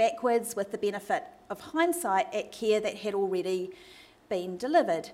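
A woman at a moderate pace with very wide pitch swings and a New Zealand accent. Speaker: medical researcher and doctor giving a talk. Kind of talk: academic lecture. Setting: stage with audience, microphone.

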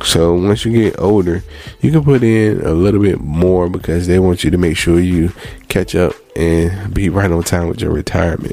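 A man's very deep, low voice at a moderate pace, with ordinary pitch variation and noticeable background noise. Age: 30s. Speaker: personal finance podcaster. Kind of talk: casual solo podcast monologue. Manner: conversational, repetitive.

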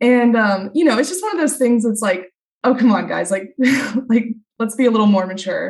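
The speech moves at a fairly quick pace. Its pitch variation is ordinary. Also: woman, fairly high pitch for a woman. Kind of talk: casual chat.

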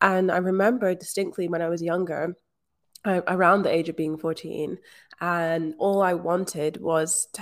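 A woman with a Scottish accent, in a very clean recording with a silent background. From rural Scotland. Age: 20s. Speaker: manifestation coach. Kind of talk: interview.

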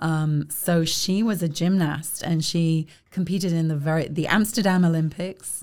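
A woman with a southern English accent speaks at a moderate pace, her pitch fairly low and her intonation fairly even. Her loudness stays very even on a very clean recording with a silent background. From South East England (Kent). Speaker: arts organization leader. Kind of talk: interview.

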